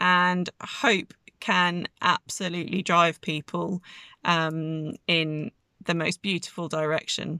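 On a very clean recording with a silent background, a woman speaks at a very slow pace in a fairly low pitch with fairly even intonation. Her tone is bright and sharp, and the sound is dry and close with no echo. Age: 30s. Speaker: astrology podcaster. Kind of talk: spiritual monologue.

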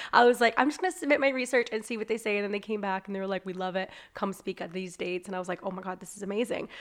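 A woman at medium pitch talks at a very fast pace with hardly any pauses, ordinary pitch variation and big swings in loudness. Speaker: business owner and life coach. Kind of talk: casual chat.

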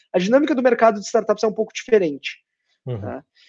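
The man's intonation is lively. His voice sits at a high pitch. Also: quiet background. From Porto Alegre, southern Brazil. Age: 20s. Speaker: fintech co-founder. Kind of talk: interview.

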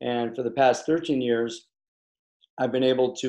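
Here a man with an American accent speaks in a dark, mellow tone with monotone, flat intonation. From US Midwest, Chicago. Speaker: facial plastic surgeon. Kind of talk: interview.

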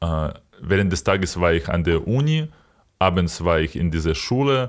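Speech from a man, very cleanly recorded against a silent background. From Ukraine, Kyiv region. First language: Ukrainian or Russian (speaking German). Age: 20s. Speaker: podcast co-host. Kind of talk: casual chat.

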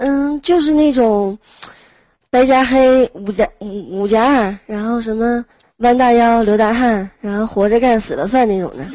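A woman talks in an ordinary speaking voice at a fairly slow pace. Her pitch sits fairly high, with ordinary variation. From Heilongjiang, northeast China. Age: 20s. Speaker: manual worker. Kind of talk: casual chat. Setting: online voice chat room.

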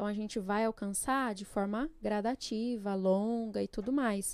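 This woman has an ordinary speaking voice, fairly high in pitch and fairly slow in pace. The recording is very clean, with a silent background. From São Paulo state, Brazil (Jundiaí); born in Pernambuco. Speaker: psychologist. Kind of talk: podcast interview.

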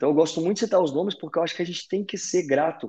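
This man has a high pitch, a dark, mellow tone and ordinary pitch variation. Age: 30s. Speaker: CrossFit event announcer and fitness coach. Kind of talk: casual chat.

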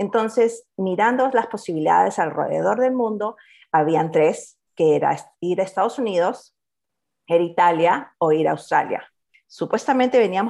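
A woman with a Peruvian accent at a fairly quick pace, medium in pitch, with lively intonation and a quiet background. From Peru, Lima. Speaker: economist and entrepreneur. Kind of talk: interview.

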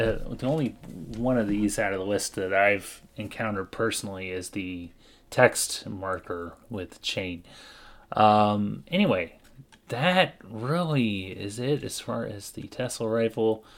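Speaking in a normal speaking voice with an American accent, a man has a fairly low pitch and ordinary pitch variation at a fairly slow pace. The recording is very clean, with a silent background. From US. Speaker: podcast co-host. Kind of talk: informational lore segment.

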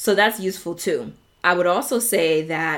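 In a New York accent, a woman talks at a fairly slow pace with a medium pitch and ordinary pitch variation. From New York, South Bronx. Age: 30s. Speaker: podcast host. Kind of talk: solo podcast monologue.

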